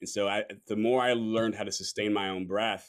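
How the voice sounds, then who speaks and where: In an ordinary speaking voice, a man with an American accent speaks at a moderate pace, his fairly low pitch following fairly even intonation. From Los Angeles. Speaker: performance artist and beatboxer. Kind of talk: casual chat.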